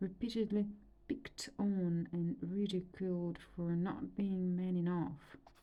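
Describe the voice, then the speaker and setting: Somewhat breathy and dark, mellow in tone, a woman's voice moves at a very slow pace. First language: Romanian. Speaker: reader and art therapist. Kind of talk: reading aloud. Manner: calm, meditative.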